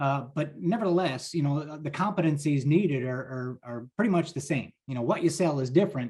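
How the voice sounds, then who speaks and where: This man has a New Jersey accent and a fairly high pitch. He speaks with hardly any pauses, a somewhat breathy tone and ordinary pitch variation. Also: fairly quick pace. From New Jersey, US. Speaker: pharmaceutical sales leader. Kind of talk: interview. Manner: energetic.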